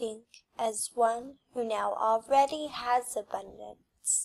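Over a quiet background, a woman speaks very slowly at a fairly high pitch in a calm, soothing tone. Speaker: hypnotist. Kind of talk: hypnosis script for sleep and abundance. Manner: calm, slow, soothing. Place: home room.

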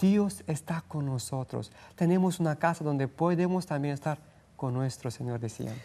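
With a Romanian accent, a man speaks at a moderate pace in a dark, mellow tone, his fairly high pitch showing ordinary variation. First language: Romanian (speaking Spanish). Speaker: missionary; guest. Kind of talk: interview. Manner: halting. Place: studio. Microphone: lapel.

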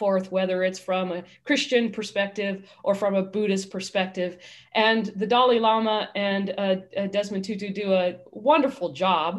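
Against a quiet background, a woman speaks with fairly even intonation. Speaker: minister hosting online service. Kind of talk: sermon-style talk introducing a guest. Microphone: video call.

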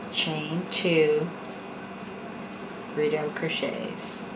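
A woman speaks very slowly in a low voice, her pitch barely moving, with background noise clearly audible.

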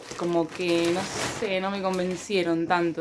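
A woman talks at a fairly slow pace against noticeable background noise. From Argentina. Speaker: YouTuber. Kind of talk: casual haul video. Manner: animated. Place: home room. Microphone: phone near.

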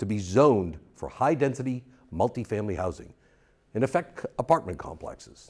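A man speaks in a dark, mellow tone with vocal fry. The background is quiet. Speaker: election candidate. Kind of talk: campaign statement. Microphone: lapel.

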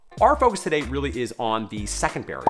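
Clear music plays behind a man whose pace is fairly quick. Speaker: gym business coach. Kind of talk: advice talk to camera. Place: home room.

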